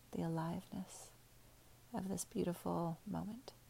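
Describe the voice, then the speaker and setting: A woman's fairly low, somewhat breathy voice in a gentle, soothing, dark, mellow tone. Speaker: meditation guide. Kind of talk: guided meditation. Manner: slow, soothing, calm; gentle, unhurried, with pauses.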